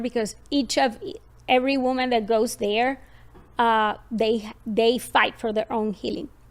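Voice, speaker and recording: A woman with a Colombian accent, fairly high pitch, fairly even intonation and a moderate pace. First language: Spanish. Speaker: parenting podcast host. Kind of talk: personal story in podcast conversation.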